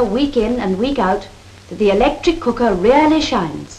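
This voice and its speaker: Noticeable background noise runs under this clip. A woman speaks at a high pitch and a moderate pace. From England. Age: 1930s recording. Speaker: cookery demonstrator. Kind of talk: scripted promotional instructional film dialogue.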